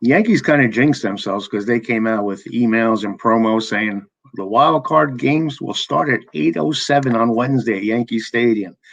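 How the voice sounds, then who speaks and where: An ordinary speaking voice from a man at a medium pitch, with ordinary pitch variation, a moderate pace, and hardly any pauses. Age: 60s. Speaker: podcast host. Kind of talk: casual chat.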